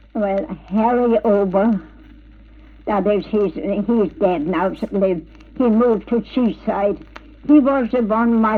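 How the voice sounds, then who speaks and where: Very slowly, a woman talks at a medium pitch with ordinary pitch variation. Noticeable background noise is present. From Germany. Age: 90s. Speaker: pioneer settler. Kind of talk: interview. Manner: halting.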